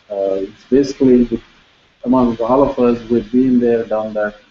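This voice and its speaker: In an Indian accent, a man with a medium-pitched voice talks at a moderate pace in a monotone, flat intonation. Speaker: professor, panel moderator. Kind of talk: seminar panel introduction.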